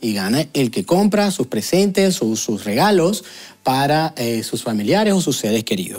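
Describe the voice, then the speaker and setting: His pitch swings very widely. The man keeps to a fairly slow pace. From Venezuela. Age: 30s. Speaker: YouTuber, sociologist; vlogger. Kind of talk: video commentary. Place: home room. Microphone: lapel.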